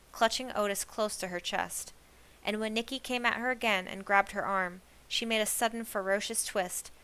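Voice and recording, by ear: A natural voice reading aloud.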